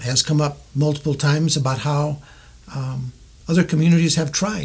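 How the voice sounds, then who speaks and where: With an American accent, a man talks at a moderate pace in a fairly high pitch, his intonation fairly even. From US West, southern Colorado. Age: 60s. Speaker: mayoral candidate. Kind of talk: interview. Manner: halting, many fillers.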